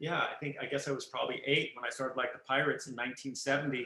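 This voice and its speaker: Loud and very fast, a man speaks at a medium pitch in a bright, sharp tone. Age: 50s. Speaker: photographer. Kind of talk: interview.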